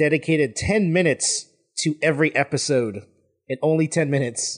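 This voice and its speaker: Against a quiet background, a man with a plain, everyday voice talks at a moderate pace with ordinary pitch variation. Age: 20s. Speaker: podcaster, guest co-host. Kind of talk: casual chat.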